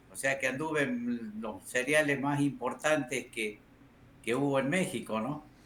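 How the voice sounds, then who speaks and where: Over noticeable background noise, a man talks at a fairly slow pace with medium pitch and ordinary pitch variation. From Salta, northern Argentina. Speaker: motorsport press director. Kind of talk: interview.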